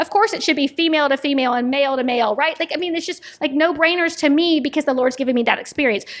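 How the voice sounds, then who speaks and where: Very fast and animated, a woman speaks in a high pitch. Noticeable background noise runs beneath her. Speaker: nonprofit executive director. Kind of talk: interview conversation.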